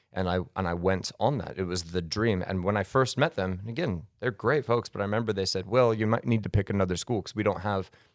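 Recorded very cleanly against a silent background, a man with an American accent and fairly low pitch talks at a fairly quick pace in an unremarkable speaking voice with ordinary pitch variation. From US, Colorado. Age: 30s. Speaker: charity adventurer and speaker. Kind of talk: podcast interview, casual storytelling.

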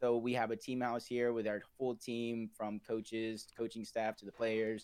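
A man's voice at a moderate pace with monotone, flat intonation. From Puerto Rican heritage. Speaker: esports analyst and caster. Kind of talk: casual interview.

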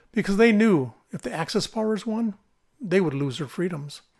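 Very clean recording, silent background, with a man talking fairly quickly in a normal speaking voice. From central Minnesota, US Midwest. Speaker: political podcaster. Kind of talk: scripted monologue.

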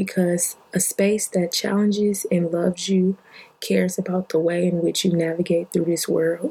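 A woman's medium-pitched voice, monotone and flat in intonation. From Detroit, Michigan. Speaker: podcast host. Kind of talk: casual monologue.

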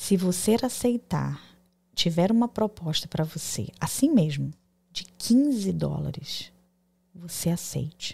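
A woman talks at a very slow pace with lively intonation. Her voice is fairly low, somewhat breathy, with a dark, mellow tone. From Brazil. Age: 40s. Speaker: diploma validation consultant, entrepreneur. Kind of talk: casual interview. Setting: live podcast studio.

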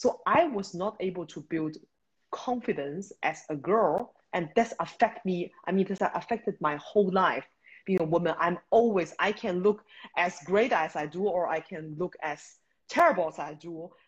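Speaking with a Beijing accent, a woman sounds somewhat breathy, with big swings in loudness, ordinary pitch variation and a moderate pace against a quiet background. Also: medium pitch for a woman. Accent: Chinese (Beijing) accent in English. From China, Beijing. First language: Mandarin Chinese. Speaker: startup founder and CEO. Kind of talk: interview.

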